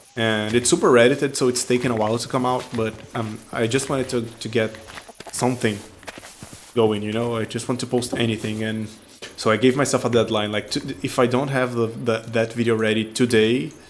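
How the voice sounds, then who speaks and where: A man's medium-pitched voice at a fairly quick pace, fairly even in intonation, over noticeable background noise. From non-English-speaking country. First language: not English. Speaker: gaming YouTuber. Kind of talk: casual gameplay commentary. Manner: hesitant, many fillers and restarts.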